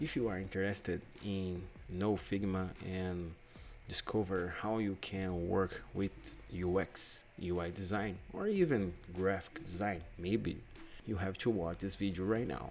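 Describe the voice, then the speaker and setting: Speaking in a Brazilian Portuguese accent, a man uses a very deep, low pitch with ordinary pitch variation. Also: fairly slow pace. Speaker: UX/UI designer. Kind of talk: tutorial. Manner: halting; casual.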